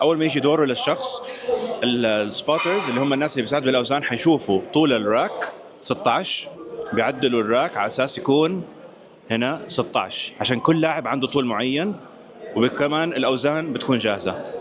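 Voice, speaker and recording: Amid noticeable background noise, a man speaks at a fairly quick pace. His pitch is fairly high and his intonation lively. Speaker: fitness vlogger and powerlifting referee. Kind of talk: vlog narration. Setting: powerlifting competition venue.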